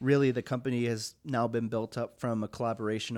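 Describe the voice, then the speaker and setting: With an unremarkable speaking voice and an American accent, a man talks at a moderate pace and medium pitch with fairly even intonation in a very clean recording with a silent background. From US Pacific Northwest, Longview, Washington. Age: 20s. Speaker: studio owner and entrepreneur. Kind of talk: casual interview.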